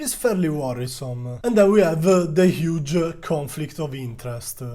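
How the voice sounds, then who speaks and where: A man with an Italian accent, a fairly high pitch, big swings in loudness and a moderate pace. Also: lively intonation. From Italy. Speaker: stock market youtuber. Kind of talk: video commentary on a stock. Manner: hesitant, frequent uh fillers.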